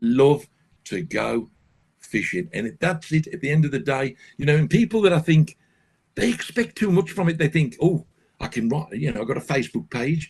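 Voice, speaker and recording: A fairly high-pitched man with vocal fry, lively intonation and a moderate pace. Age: 70s. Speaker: carp angler and fishing guide. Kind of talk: casual interview chat. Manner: animated.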